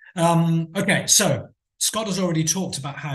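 A man speaks at a high pitch and a moderate pace. His intonation stays fairly even. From England. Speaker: teacher trainer and coursebook author; teacher trainer. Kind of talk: conference talk. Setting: video call. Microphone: webcam.

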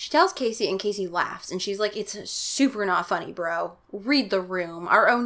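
Heard here is a natural reading voice.

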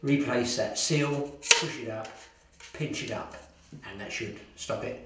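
A man at medium pitch and a fairly slow pace, with strong room echo.

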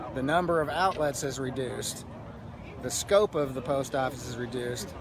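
A man talks at a moderate pace, the sound dry with no echo and noticeable background noise behind him. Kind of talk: interview answer. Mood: earnest, explanatory. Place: street. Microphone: phone near.

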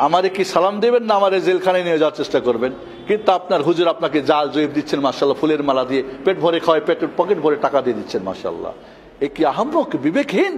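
A man's high-pitched, animated voice with ordinary pitch variation over light background noise. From Bangladesh. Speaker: imam. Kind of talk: sermon. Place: church. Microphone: podium.

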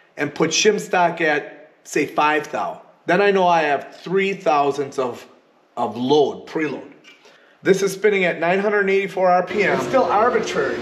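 Noticeable background noise is present. The speech goes at a very slow pace. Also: man. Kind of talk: tutorial. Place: workshop. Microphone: phone near.

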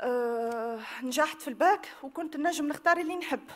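Speaking with a Tunisian accent, a woman uses a high pitch. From Tunisia, Tunis. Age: 30s. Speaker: victim giving testimony; witness. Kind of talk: testimony. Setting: public hearing with audience. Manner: halting. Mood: emotional, earnest. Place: hall. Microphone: podium.

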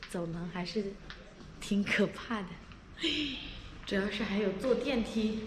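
Fairly even intonation at a very slow pace is heard over light background noise. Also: woman. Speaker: vlogger. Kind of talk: casual vlog chat. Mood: cheerful, playful. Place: hall. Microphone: phone near.

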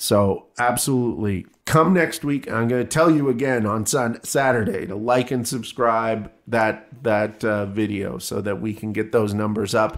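In a very clean recording with a silent background, a man with an American accent talks at a medium pitch with ordinary pitch variation and hardly any pauses, in an ordinary speaking voice. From US Midwest. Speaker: podcast co-host. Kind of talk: casual chat.

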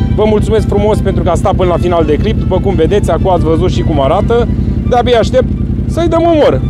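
Talking at a very fast pace, a man is recorded with a dry sound and no echo while loud music plays behind him. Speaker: ATV owner reviewing a gadget. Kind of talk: casual vlog chat. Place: street.

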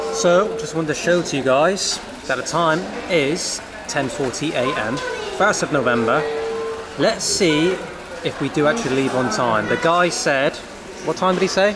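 Loud background noise fills the space as a man talks at a fairly slow pace, pausing long and often. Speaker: travel vlogger. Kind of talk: casual vlog chat. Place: station. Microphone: phone near.

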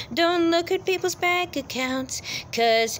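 A woman talks with lively intonation over light background noise. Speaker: vlogger. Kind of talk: casual vlog rant. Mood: annoyed, repetitive lecturing. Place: street. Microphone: phone near.

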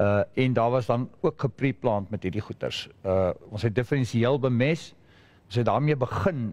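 A man with a South African accent speaks at a moderate pace, his medium pitch moving with ordinary variation. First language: Afrikaans. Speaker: fertilizer specialist. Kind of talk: panel discussion. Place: hall.

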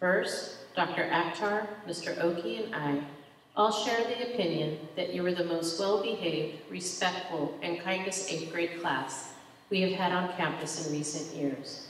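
With a fairly low pitch and ordinary pitch variation, a woman speaks over light background noise, her voice carrying audible room echo. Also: fairly slow pace. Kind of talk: ceremony address. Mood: warm, proud, formal. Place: stage. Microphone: podium.

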